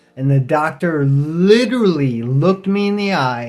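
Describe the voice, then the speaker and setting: Against clear background noise, a man's fairly high voice carries lively intonation. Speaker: vlogger with multiple sclerosis. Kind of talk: personal storytelling monologue. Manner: casual, informal.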